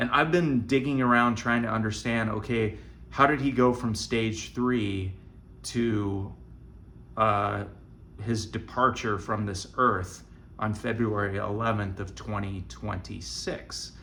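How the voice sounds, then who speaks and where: A man with a fairly low pitch and a bright, sharp tone speaks very slowly with vocal fry and ordinary pitch variation, with audible room echo around him. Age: 60s. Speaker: vlogger with stage 4 colon cancer. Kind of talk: casual vlog monologue. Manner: halting.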